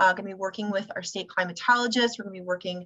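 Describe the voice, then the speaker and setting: This woman's voice sits at a medium pitch. Her intonation stays fairly even. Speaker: environmental education program staff presenter. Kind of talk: webinar presentation. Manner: fast.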